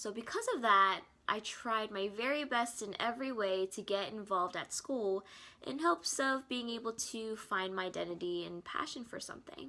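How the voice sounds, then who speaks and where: A woman's fairly high voice in an American accent at a moderate pace. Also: ordinary pitch variation. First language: Korean. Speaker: student. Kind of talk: scripted narration. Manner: playful, upbeat.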